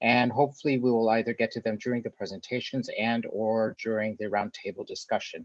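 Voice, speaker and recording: Recorded with a dry, close sound and no echo, a man with an American accent has a medium pitch and an ordinary speaking voice. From USA. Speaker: academic researcher, session moderator. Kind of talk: moderating a webinar. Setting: video call webinar.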